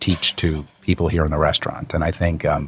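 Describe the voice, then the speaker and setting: The speech moves at a moderate pace with an American accent. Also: man. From US Northeast, North Jersey. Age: 40s. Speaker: restaurant group founder. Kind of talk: podcast interview. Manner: hesitant, many fillers.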